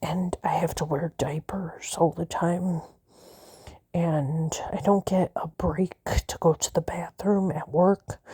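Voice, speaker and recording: A woman's dark, mellow voice at a very slow pace. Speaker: vlogger. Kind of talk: personal vlog monologue. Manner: halting, hesitant.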